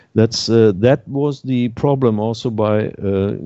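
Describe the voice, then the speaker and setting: Speaking with a German accent, a man talks at a fairly slow pace and a fairly low pitch. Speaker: activist panelist. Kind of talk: roundtable discussion. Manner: halting.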